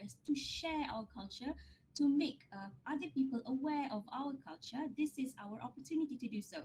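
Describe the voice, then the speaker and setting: A woman's lively, high-pitched voice with a dark, mellow tone, a Malaysian accent and a moderate pace. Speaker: academic researcher. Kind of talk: lecture Q&A answer.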